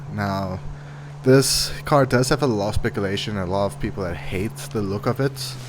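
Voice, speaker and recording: A man talks at a moderate pace with a fairly low pitch. Noticeable background noise runs underneath. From South Africa. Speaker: gaming youtuber. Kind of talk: gameplay commentary. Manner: casual.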